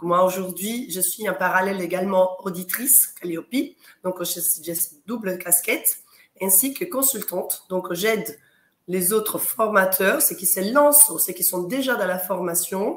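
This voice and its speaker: Loudness swings widely as a woman talks at a fairly slow pace. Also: medium pitch for a woman, ordinary pitch variation. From Italy. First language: Italian (speaking French). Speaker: quality consultant and auditor for training organisations. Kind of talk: interview on live talk show.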